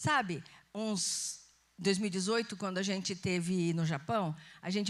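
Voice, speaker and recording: This woman's voice shows ordinary pitch variation. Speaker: pastor. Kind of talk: sermon. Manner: conversational.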